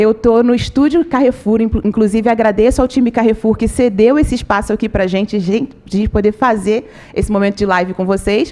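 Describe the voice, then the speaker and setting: Speaking fast-ish in a Rio de Janeiro accent, a woman has a fairly high pitch with ordinary variation, an animated tone and very even loudness. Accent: carioca (Rio de Janeiro). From Rio de Janeiro, Brazil (suburbs). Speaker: communications manager, webinar presenter. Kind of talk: live webinar presentation. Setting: studio, live stream.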